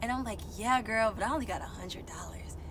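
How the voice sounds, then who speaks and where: A woman speaks at a very fast pace. Noticeable background noise is present. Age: 20s. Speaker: truck driver and aspiring singer. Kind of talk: casual storytime talk to camera. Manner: outgoing, animated.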